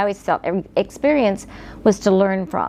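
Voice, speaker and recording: A medium-pitched woman with an American accent, against noticeable background noise. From West Virginia, rural hills. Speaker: interviewee sharing life story. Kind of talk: life story interview. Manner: reflective with frequent hesitations.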